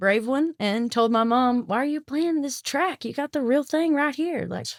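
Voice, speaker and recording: A woman with a Southern US accent speaks in a high pitch at a moderate pace with ordinary pitch variation. Her recording is very clean and silent in the background, with a dry, close sound and no echo. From US South, South Arkansas. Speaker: country singer. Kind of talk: casual chat.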